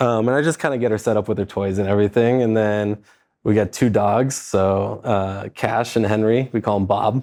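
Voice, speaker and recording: A man with an American accent speaks in a relaxed, dark, mellow tone at a fairly low pitch. His intonation stays fairly even over a quiet background. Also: moderate pace. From Southern California, San Diego. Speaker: private lender, team leader. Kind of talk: casual interview chat. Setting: studio office. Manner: relaxed, casual with fillers.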